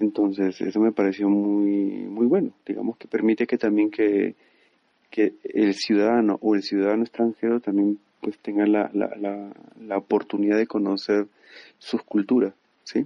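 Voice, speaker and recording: A man's flat, monotone delivery at a fairly slow pace. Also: fairly low pitch for a man. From Peru. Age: 30s. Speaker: 3D animator. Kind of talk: interview. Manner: halting, many fillers and repetitions.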